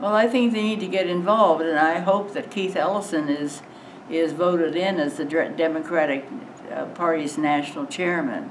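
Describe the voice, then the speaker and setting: A woman with an American accent speaks at a moderate pace, fairly low pitch and ordinary pitch variation. Noticeable background noise and audible room echo come through. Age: 90s. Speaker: elderly interviewee. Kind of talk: casual interview. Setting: mosque hall before congregation.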